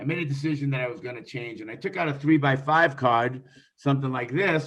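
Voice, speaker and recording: Fairly quick in pace, a man talks at a fairly high pitch. He has a plain, everyday voice. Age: 60s. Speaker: real estate investor. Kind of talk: interview.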